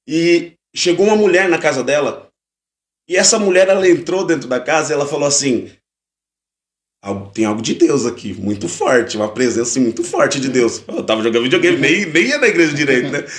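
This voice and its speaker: A man speaks at a fairly quick pace in a fairly high pitch, with very wide pitch swings. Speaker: pastor and worship musician. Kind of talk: testimony. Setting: podcast live stream. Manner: conversational.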